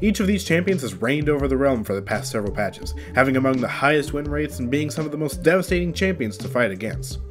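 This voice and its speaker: A man's medium-pitched voice, very fast, with very wide pitch swings and music in the background. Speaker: gaming YouTuber. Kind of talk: video game commentary narration.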